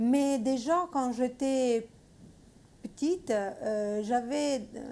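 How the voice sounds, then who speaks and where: Speaking very slowly with an Italian accent, a woman has a high pitch and a dark, mellow tone. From Italy. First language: Italian (speaking French). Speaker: missionary. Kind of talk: testimony. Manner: halting, many hesitations.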